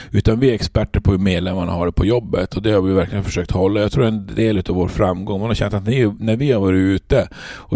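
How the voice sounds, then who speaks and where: Here is a man with a dark, mellow tone and fairly low pitch. He talks at a very fast pace with fairly even intonation. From Norrbotten, Sweden (Luleå). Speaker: trade union leader. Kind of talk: interview.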